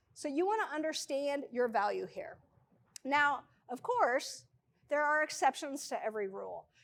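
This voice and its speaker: A woman's high, animated voice with very wide pitch swings. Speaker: freelance business presenter. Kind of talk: presentation to a live audience. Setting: stage with audience. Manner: fast.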